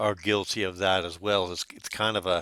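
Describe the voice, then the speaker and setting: This man's tone is bright and sharp. The sound is dry and close, with no echo. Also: very clean recording, silent background. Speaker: online marketing instructor. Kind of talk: tutorial. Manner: deliberately not fast.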